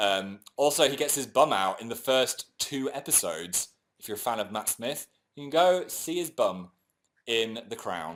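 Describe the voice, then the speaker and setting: With an English accent and vocal fry, a man speaks at a fairly high pitch that swings very widely. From England. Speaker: YouTuber. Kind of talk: casual chat. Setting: livestream.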